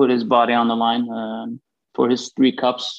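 A man at a moderate pace and medium pitch. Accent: Swedish. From Sweden, Gothenburg. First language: Swedish. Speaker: former pro hockey player and agent. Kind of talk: interview.

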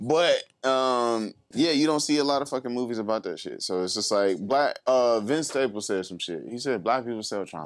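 A man talks at a moderate pace with medium pitch and ordinary pitch variation. It is an ordinary speaking voice. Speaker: rapper and musician. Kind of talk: casual chat.

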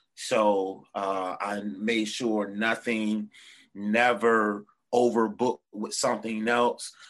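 Against a quiet background, a man with a Virginia Tidewater accent talks very slowly in a fairly low, monotone, flat voice. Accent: Virginia Tidewater (757). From Norfolk, Virginia. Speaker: musician and band leader. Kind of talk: casual interview chat. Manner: casual, filler-heavy, slangy.

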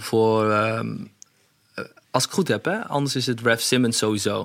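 At a fairly slow pace, a man speaks in a normal speaking voice with a medium pitch. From Netherlands, Hasselt near Zwolle. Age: 30s. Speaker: fashion designer. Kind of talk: interview.

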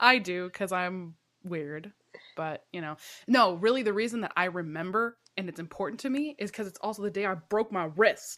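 On a very clean recording with a silent background, a woman with a medium pitch and a bright, sharp, animated tone talks at a moderate pace with big swings in loudness. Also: ordinary pitch variation. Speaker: podcast co-host. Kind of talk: casual chat.

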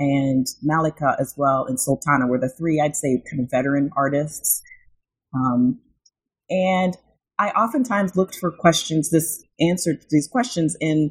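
A woman's very deep, low voice with an American accent, ordinary pitch variation and a fairly slow pace. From rural Illinois, US Midwest. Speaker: academic author, university administrator. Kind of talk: interview.

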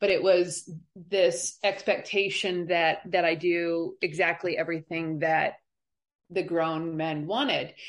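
A woman's a normal speaking voice, fairly low and fairly slow, with fairly even intonation and an American accent. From Colorado, US. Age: 40s. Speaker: abuse survivor. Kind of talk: testimony.

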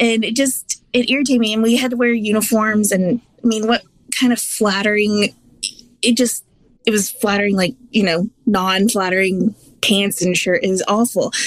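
Speaking at a moderate pace, a woman has an ordinary speaking voice, fairly high in pitch, with very even loudness. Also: fairly even intonation. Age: 30s. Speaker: weight-loss app member. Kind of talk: interview.

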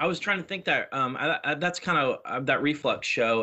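An unremarkable speaking voice from a man, at a moderate pace, with ordinary pitch variation. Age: 40s. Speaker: podcast host. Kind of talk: casual chat.

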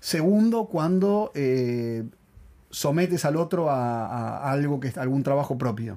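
A man's fairly high, dark and mellow voice at a fairly slow pace. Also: lively intonation. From Argentina. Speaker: podcast co-host and actor. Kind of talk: casual chat.

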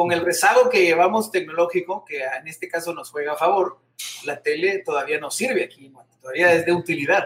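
A man speaks at a fairly quick pace in a high pitch. His pitch varies in an ordinary way, while his loudness swings widely. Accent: Guatemalan. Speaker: TV presenter and singer. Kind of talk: casual interview. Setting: video call.

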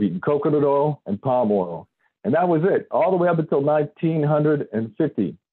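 This man has an unremarkable speaking voice, fairly high in pitch. His intonation is lively. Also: very even loudness. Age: 30s. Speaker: independent health researcher and author. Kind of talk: interview.

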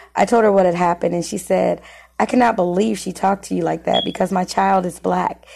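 With an American accent and vocal fry, a woman talks at a fairly quick pace and a fairly low pitch. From US Midwest (Muncie, Indiana). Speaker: podcast host and life coach. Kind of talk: personal story reading.

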